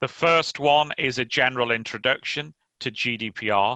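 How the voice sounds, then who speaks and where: A man with an English accent speaks at a very slow pace in a bright, sharp tone of medium pitch with ordinary pitch variation, recorded dry and close with no echo against a quiet background. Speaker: lawyer. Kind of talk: conference talk. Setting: remote conference presentation.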